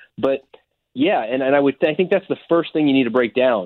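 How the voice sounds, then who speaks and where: A normal speaking voice from a man, medium in pitch, with ordinary pitch variation. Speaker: author, time management expert. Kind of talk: interview. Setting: phone call.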